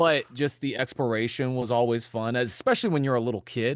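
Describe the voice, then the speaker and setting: The speaker has an American accent and fairly even intonation. The background is quiet. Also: man. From US South, Florida (Jacksonville). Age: 30s. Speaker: voice actor. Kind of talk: casual chat. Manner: halting, many fillers.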